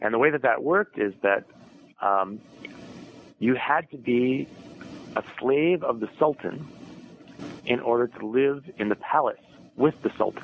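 Someone with an Upper Midwest accent speaks at a fairly slow pace, leaving long, frequent pauses and varying pitch in an ordinary way. The sound is dry and close with no echo, though noticeable background noise comes through. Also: man, medium pitch for a man. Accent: Upper Midwest American. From US Midwest, Madison, Wisconsin. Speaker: historian and author. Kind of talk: interview.

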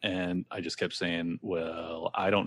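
A man with an American accent, very deep and low in pitch, bright and sharp in tone, at a fairly slow pace, over a quiet background. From US West Coast, San Diego. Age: 30s. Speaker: podcaster. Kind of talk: casual chat.

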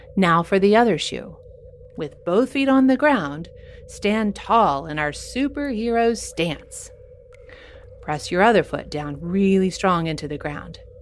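A woman speaks at a medium pitch in a gentle, enthusiastic tone, her pitch swinging very widely over noticeable background noise. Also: fairly slow pace. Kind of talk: guided kids' yoga session with playful superhero storytelling. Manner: warm, upbeat and encouraging, with pauses for movement and playful exclamations; slow, clear, gentle pacing with enthusiastic sound effects.

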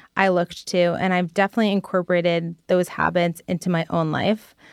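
A woman speaks in an unremarkable speaking voice, pitched fairly low. The recording is very clean and silent behind her, with a dry, close sound and no echo. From New Jersey. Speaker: listener. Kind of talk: recorded listener message.

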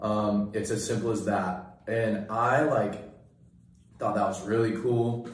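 Over noticeable background noise, a man with an American accent speaks at a very slow pace in a fairly low, monotone, flat voice. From Sacramento area, Northern California. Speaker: college student. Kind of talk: casual chat.

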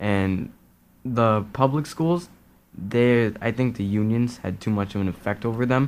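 A man speaks at a medium pitch. His pace is fairly slow. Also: ordinary pitch variation.

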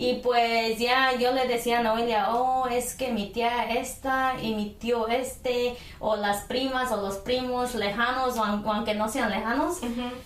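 Over noticeable background noise and audible room echo, a woman speaks in a high pitch. Her delivery is monotone and flat at a very slow pace. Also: hardly any pauses. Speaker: podcast co-host. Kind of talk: casual chat. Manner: laughing, giggly.

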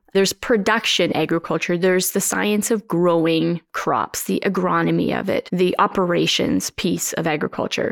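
A woman talks at a moderate pace with hardly any pauses. The recording is very clean, with a silent background. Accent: Canadian Prairie. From Canadian Prairies, Saskatchewan (Moss Bank area). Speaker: farmer and advocate. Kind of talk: interview conversation. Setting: living room at her farm.

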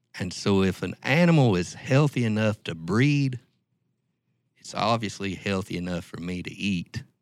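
Speaking with an Ozark accent, a man with a fairly low pitch uses lively intonation at a moderate pace, with big swings in loudness. The recording is very clean, the background silent. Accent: Ozark Southern US. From Ozarks, Arkansas/Oklahoma. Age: 50s. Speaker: event founder. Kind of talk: casual interview.

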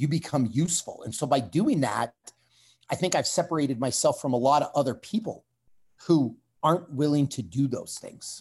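A man with a Canadian accent speaks at a moderate pace in a somewhat breathy, fairly high voice with ordinary pitch variation, on a very clean recording with a silent background. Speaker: strength coach and former fighter. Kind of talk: interview conversation.

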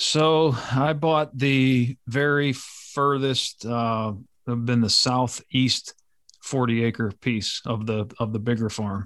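Spoken very slowly with an American accent and fairly even intonation, the clip is a very clean recording with a silent background. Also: man, medium pitch for a man. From western Pennsylvania, US. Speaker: police officer and landowner. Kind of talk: casual interview conversation.

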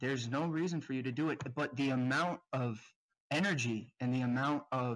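A man's ordinary speaking voice, medium in pitch, with fairly even intonation at a moderate pace, on a very clean recording with a silent background. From South Florida. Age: 20s. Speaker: viewer in a group support session. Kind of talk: group therapy session.

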